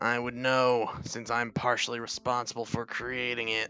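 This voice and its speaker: Straining at a moderate pace, a man does a put-on character voice while clear music plays in the background. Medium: game stream. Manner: polished, condescending.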